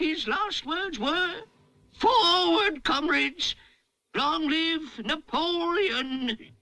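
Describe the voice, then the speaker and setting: This man uses a cartoonish character voice pitched extremely high. He speaks at a very slow pace. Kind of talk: political speech. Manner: oratorical, ingratiating.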